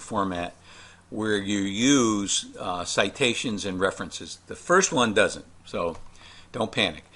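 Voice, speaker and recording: A man's bright, sharp tone at a fairly low pitch, with a fairly slow pace. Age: 60s. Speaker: college professor. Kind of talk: recorded lecture walkthrough. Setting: screen-recorded class video. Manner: casual, hesitant with many fillers.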